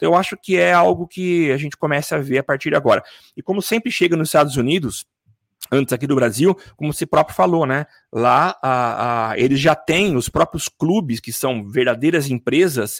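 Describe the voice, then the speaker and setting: Speaking at a moderate pace with a plain, everyday voice, a man uses lively intonation and a fairly high pitch, with a dry, close sound with no echo. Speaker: podcast host. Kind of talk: casual chat. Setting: home studio, live stream.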